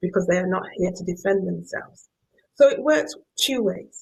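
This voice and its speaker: Speaking at a moderate pace with a Yorkshire accent, a woman sounds somewhat breathy, her intonation lively. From northern England, Yorkshire. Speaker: professor. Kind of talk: lecture.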